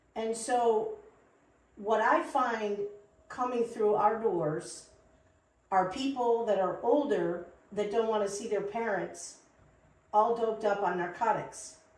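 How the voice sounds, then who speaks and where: Speaking very slowly with long, frequent pauses, a woman with a fairly high pitch and ordinary pitch variation is heard over audible room echo. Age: 60s. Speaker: CBD shop co-founder. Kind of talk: podcast interview.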